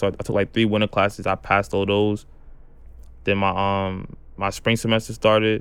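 A man's fairly low-pitched voice with a New York accent, at a fairly quick pace. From Brooklyn, New York. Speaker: amputee college football player. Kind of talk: interview testimony.

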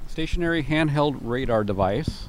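A man's voice at a moderate pace, with noticeable background noise. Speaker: police officer. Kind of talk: casual chat. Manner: gestures a lot while talking.

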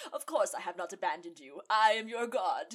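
A woman puts on a character voice. She talks at a fairly quick pace. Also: fairly high pitch for a woman. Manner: commanding, grandiose.

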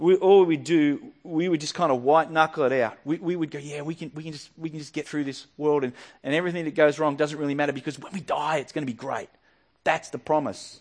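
Against a quiet background, a man with an Australian accent talks very fast at fairly high pitch, with fairly even intonation but big swings in loudness. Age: 40s. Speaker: pastor. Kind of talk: sermon.

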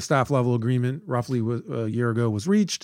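In a very clean recording with a silent background, a man talks in a normal speaking voice at medium pitch, with ordinary pitch variation. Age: 50s. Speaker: podcast host, think tank director. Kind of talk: interview.

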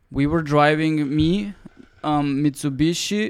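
A man with an ordinary speaking voice, fairly high in pitch, ordinary pitch variation and a moderate pace. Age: 20s. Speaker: photographer and videographer. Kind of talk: casual chat. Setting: on location in Tokyo.

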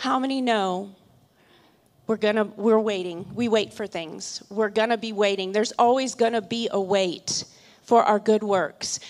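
In an ordinary speaking voice, a woman with a fairly high pitch talks at a fairly slow pace with fairly even intonation, on a very clean recording with a silent background. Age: 50s. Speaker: charity co-founder. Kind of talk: sermon.

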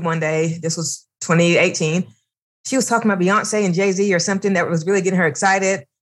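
A woman is speaking. Her pitch is fairly low, with ordinary variation. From US South. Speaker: public relations professional and podcast host. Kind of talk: interview conversation.

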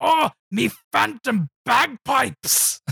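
A put-on character voice with a fairly high pitch and a Scottish accent, all part of the act.

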